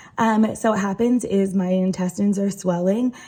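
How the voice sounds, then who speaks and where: A somewhat breathy voice with a dark, mellow tone, ordinary pitch variation and a moderate pace. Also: woman. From Rhode Island. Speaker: patient sharing health story. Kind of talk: personal explainer video. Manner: hesitant, many fillers.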